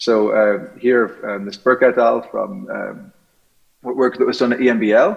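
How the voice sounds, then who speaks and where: A man with an Irish accent speaks at medium pitch and a moderate pace. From Ireland. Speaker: scientist. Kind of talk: conference talk. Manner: hesitant, many fillers.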